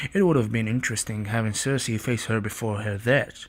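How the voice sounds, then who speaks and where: The speaker is a man with a non-native accent. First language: not English. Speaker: TV show reviewer. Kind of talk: casual video review.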